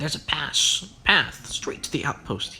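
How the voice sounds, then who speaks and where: A gravelly, put-on character voice speaks at a moderate pace. Clear background noise runs underneath. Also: man. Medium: read story. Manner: gruff, curt.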